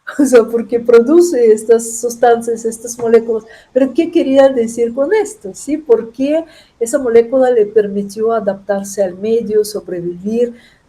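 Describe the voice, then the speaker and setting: A woman with a non-native accent, fairly high pitch, a dark, mellow tone and a fairly slow pace. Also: ordinary pitch variation. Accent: foreign accent in Spanish. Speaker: chemist, professor. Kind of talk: interview. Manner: halting, with false starts.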